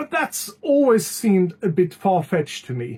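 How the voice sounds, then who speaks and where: A high-pitched man's voice with very wide pitch swings at a moderate pace. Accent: non-native. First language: not English. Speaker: music reviewer. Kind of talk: album review vlog. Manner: hesitant, many filler sounds.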